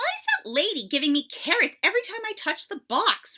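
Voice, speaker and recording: A squeaky, put-on character voice, female-sounding, at an extremely high pitch for a woman and a fairly quick pace. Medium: read story.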